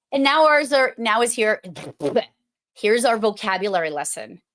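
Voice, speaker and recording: Animated and lively in intonation, a woman speaks at a fairly high pitch with an American accent. Her pace is fairly slow. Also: long, frequent pauses. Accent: Boston accent, strong when at home. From Massachusetts (Boston area). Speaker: podcast host for emergency dispatchers. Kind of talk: live online show, casual chat.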